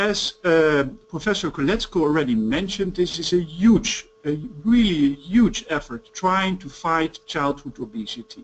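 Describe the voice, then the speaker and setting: A man's high voice with a Dutch accent, lively intonation and a fairly slow pace amid noticeable background noise. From Netherlands. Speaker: pediatrics professor. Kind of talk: press conference remarks.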